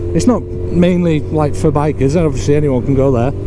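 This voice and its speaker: With a British accent, a man speaks at a medium pitch amid noticeable background noise and audible room echo. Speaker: motorcycle vlogger. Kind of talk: casual vlog narration while riding. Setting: riding a motorbike, helmet mic.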